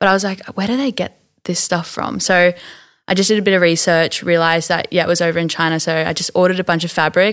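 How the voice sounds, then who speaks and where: Talking at a very fast pace, a woman with an Australian accent keeps a fairly low pitch and fairly even intonation on a very clean recording with a silent background. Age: 20s. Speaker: small clothing brand owner. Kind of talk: casual interview. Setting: studio.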